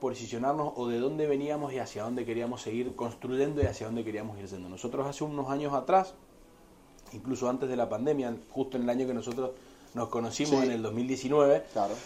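Fairly quick male speech in a Cuyo Argentine accent, with fairly even intonation. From Argentina, Mendoza. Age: 30s. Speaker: winery representative. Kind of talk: interview about wine. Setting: in person.

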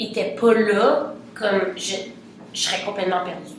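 The room echo is audible. There is also noticeable background noise. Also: woman. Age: young. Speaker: singer. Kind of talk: casual interview.

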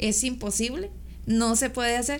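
A woman's ordinary speaking voice, fairly high-pitched, at a fairly slow pace. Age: 30s. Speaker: bodybuilding competitor and architect. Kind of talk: casual interview chat.

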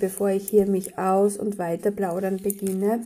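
Dark, mellow and somewhat breathy, a woman's medium-pitched voice moves at a moderate pace. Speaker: spiritual podcast host. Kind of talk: daily spiritual guidance monologue. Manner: casual, chatty.

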